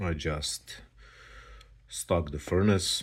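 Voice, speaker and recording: Man with a non-native accent at a very slow pace. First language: not English. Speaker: hobby video maker showing household items. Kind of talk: casual unboxing demonstration. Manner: halting, many fillers.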